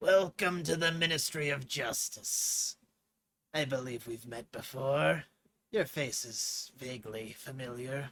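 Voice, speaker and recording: Using a put-on character voice, a man speaks at a medium pitch with a raspy sound and lively intonation. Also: fairly slow pace. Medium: read story. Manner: smug, dismissive, chuckling.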